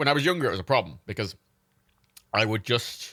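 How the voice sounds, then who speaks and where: With an Irish accent, a man at a medium pitch speaks very fast in an animated tone. His voice has a bright, sharp tone and very wide pitch swings. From Ireland. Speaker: livestreamer. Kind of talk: casual chat.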